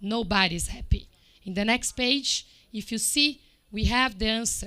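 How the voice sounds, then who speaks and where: A woman with a non-native accent and a fairly high pitch speaks at a fairly slow pace on a very clean recording with a silent background. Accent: foreign. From Brazil. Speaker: report presenter at climate event. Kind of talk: presentation.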